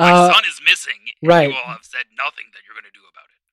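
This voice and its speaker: A man does a put-on character voice that is gruff and high-pitched, delivered at a very fast pace. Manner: angry, gruff.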